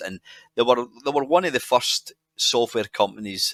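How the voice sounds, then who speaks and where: Someone with a Scottish accent speaks at a moderate pace, and the loudness swings widely. The sound is dry and close, with no echo. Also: man. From Scotland. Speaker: podcast guest. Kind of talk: podcast interview answer. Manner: casual, rambling.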